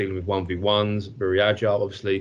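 In an English accent, a man speaks at a moderate pace with a fairly low pitch and monotone, flat intonation. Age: 30s. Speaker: football goalkeeper coach. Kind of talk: casual chat.

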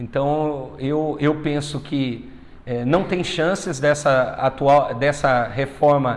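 This man's voice sits at a fairly high pitch. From Brazil, northern Paraná. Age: 30s. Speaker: politician. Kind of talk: interview.

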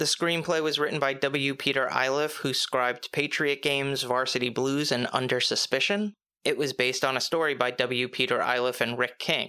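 In a very clean recording with a silent background, a man with a fairly high pitch talks at a moderate pace in a bright, sharp tone, with fairly even intonation, very even loudness and hardly any pauses. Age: middle-aged. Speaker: film review podcast host. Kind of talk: solo podcast review monologue. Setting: home recording with mic. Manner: casual, joking.

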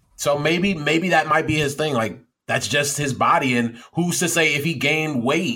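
At a moderate pace, a man speaks in an animated, bright and sharp tone, fairly high in pitch with ordinary pitch variation. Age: 20s. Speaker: podcast co-host. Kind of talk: casual chat.

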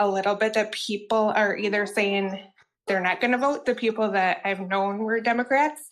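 Here is a woman with a fairly high pitch. She has an ordinary speaking voice. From Wisconsin. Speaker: call-in show caller.

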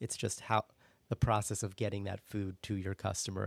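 An American accent marks this man's fairly low, vocal-fried voice. He moves at a fairly quick pace on a very clean recording with a silent background. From US Northeast, suburban Philadelphia. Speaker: jazz club director of operations. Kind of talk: casual interview.

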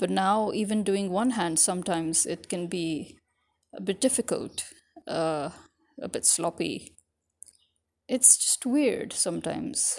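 A woman with an American accent at a medium pitch, with lively intonation, a fairly slow pace and long, frequent pauses, in a very clean recording with a silent background. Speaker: podcaster. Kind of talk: casual monologue to audience.

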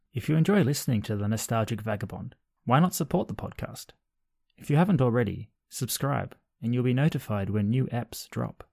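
On a very clean recording with a silent background, the speaker uses an Australian accent, lively intonation and a fairly quick pace. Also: man, medium pitch for a man. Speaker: podcast host. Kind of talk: casual interview conversation.

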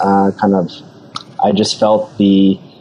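In an Australian accent, a man speaks with a slightly mellow tone.

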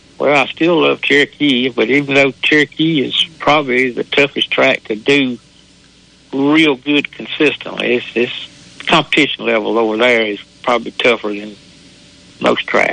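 A man with a Southern US accent at a moderate pace, fairly even intonation, and noticeable background noise. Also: medium pitch for a man. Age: 70s. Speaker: local racetrack driver.

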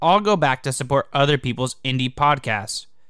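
With a plain, everyday voice, a man talks at a fairly quick pace and a fairly high pitch, his intonation lively. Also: very clean recording, silent background. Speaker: podcast reviewer. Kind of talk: scripted narration.

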